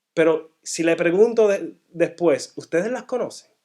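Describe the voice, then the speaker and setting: With a Puerto Rican accent, a man speaks at a very slow pace with lively intonation. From Puerto Rico, then Massachusetts from age eight. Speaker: guest speaker at a church. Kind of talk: sermon-style teaching talk. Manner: halting, frequent self-corrections.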